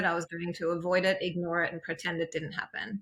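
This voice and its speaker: A woman speaks with a strong Australian accent. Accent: heavy Australian. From East Germany, then Australia from age nine. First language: German. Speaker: empowerment coach. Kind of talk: interview testimony. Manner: hesitant, many fillers.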